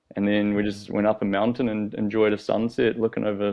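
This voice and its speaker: In a New Zealand accent, a man talks at a fairly quick pace and fairly low pitch, his dark, mellow tone monotone with flat intonation. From New Zealand, South Island. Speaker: professional skateboarder. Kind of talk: casual interview chat. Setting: podcast studio.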